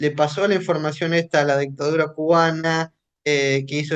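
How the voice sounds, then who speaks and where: His intonation is monotone and flat. This man speaks at a moderate pace with a fairly high pitch. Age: 20s. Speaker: human rights activist. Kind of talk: radio interview.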